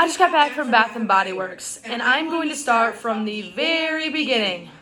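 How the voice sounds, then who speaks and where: In a room with audible echo and noticeable background noise, a woman with a high pitch speaks at a moderate pace in an animated tone with lively intonation. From Wisconsin, US Upper Midwest. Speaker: vlogger. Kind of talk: casual vlog rant.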